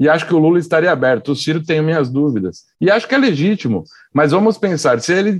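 This man's delivery is very fast. His intonation stays lively. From São Paulo. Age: young. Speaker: works at a TV production company. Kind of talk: casual chat.

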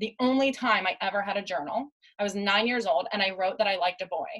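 A woman with a normal speaking voice talks at a fairly quick pace, her medium pitch carried by lively intonation. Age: 30s. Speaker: life coach and former psychotherapist. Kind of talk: casual interview conversation.

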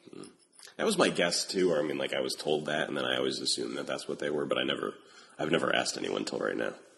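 Noticeable noise fills the background. Over it, a man speaks very fast. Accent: American. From upstate New York (Albany). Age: 30s. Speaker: podcast host. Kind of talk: casual interview chat.

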